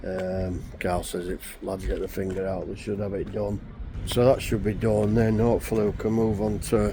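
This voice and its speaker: With a Yorkshire accent, a man talks at a moderate pace in a fairly low, monotone, flat voice over noticeable background noise. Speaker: fencing contractor. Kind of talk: casual vlog commentary.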